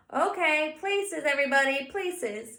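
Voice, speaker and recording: Putting on a squeaky character voice, a woman speaks at a high pitch with lively intonation. Her pace is moderate. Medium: read story.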